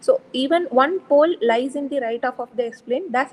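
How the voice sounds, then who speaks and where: Soft-spoken and high-pitched, a woman talks at a moderate pace with lively intonation in a dry, close sound with no echo. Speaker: lecturer. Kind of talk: lecture. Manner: halting.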